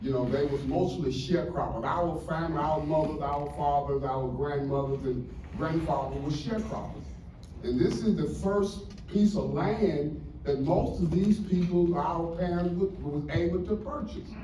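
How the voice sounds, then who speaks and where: There is audible room echo and noticeable background noise as a man with fairly high pitch and ordinary pitch variation talks at a moderate pace. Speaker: community resident. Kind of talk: testimony.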